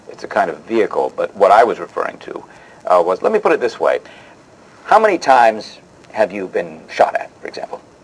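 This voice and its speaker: A man speaks at a fairly quick pace, his loudness swinging widely. Noticeable background noise runs behind him. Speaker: interview host. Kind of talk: interview host patter, scripted show.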